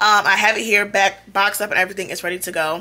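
Using ordinary pitch variation, a woman speaks at a very fast pace. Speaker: haul vlogger. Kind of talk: casual vlog chat. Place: home room. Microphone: phone near.

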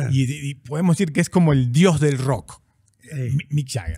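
Over a quiet background, a man with a fairly high pitch speaks fairly slowly, his voice somewhat breathy. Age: 50s. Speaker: podcast host. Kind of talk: interview, casual chat. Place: studio. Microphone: studio mic.

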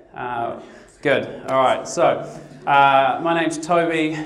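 Amid light background noise and audible room echo, a man speaks with ordinary pitch variation. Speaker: guest. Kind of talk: sermon. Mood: humorous, self-deprecating. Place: hall. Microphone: headset.

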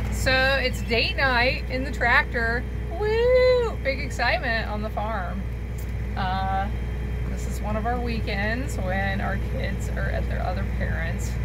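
A woman talks very slowly through loud background noise. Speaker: farm wife vlogger. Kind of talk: casual vlog chat. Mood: cheerful, playful. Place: farm machine. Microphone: phone near.

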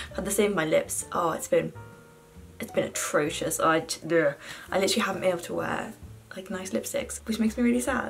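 A woman with a British accent at a fairly quick pace, faint music in the background. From London, England. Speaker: university student. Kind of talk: casual makeup tutorial talk to camera. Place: home room. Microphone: phone near.

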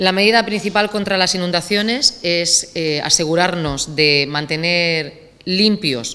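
A woman talks with a fairly low pitch, ordinary pitch variation and a fairly slow pace. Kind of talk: press statement. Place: hall. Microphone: podium.

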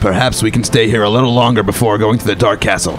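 Over clear music in the background, a man does a raspy put-on character voice at medium pitch and a very fast pace.

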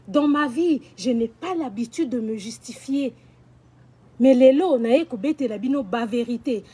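Her voice is high in pitch, and the woman uses ordinary pitch variation. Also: fairly slow pace. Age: 40s. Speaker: social media personality; vlogger. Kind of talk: personal video rant. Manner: animated. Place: garden.

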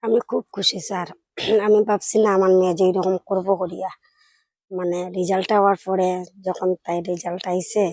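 A woman's medium-pitched voice in a monotone, flat intonation, with a dry, close sound and no echo. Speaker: student's mother. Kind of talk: interview.

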